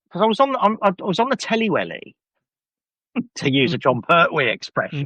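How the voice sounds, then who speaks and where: A man speaks in a raised, projected voice with a Birmingham accent, pitched high with very wide swings and a bright, sharp tone. His pace is fairly quick, and the sound is dry and close with no echo. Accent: Birmingham (Brummie). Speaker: podcast host. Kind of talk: casual chat.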